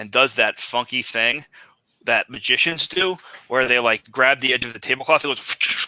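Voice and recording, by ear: The voice reads aloud in a natural way over a quiet background.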